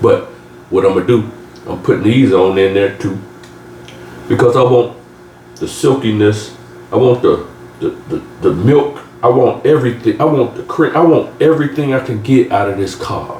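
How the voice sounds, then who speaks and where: Long, frequent pauses in a man's moderately paced speech, set against noticeable background noise. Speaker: home cooking youtuber. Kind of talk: cooking tutorial. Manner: animated, conversational.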